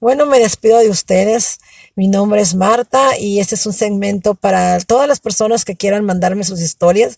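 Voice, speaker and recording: A woman's dark, mellow tone with ordinary pitch variation, dry and close with no echo. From Mexico (Michoacán and Ensenada). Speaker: storyteller. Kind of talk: personal testimony. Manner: halting.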